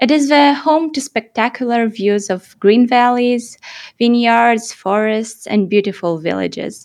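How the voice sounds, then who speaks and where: In a Romanian accent, a woman speaks at a fairly slow pace. Her pitch is fairly high, with ordinary variation. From Moldova. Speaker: podcast co-host and interviewer. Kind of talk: casual chat; scripted narration.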